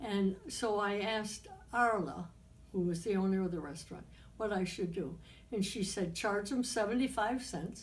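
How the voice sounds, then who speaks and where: A woman with a somewhat breathy, medium-pitched voice speaks at a moderate pace with ordinary pitch variation, and audible room echo is heard. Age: 90s. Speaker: interviewee recounting life history. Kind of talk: oral history interview. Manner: halting.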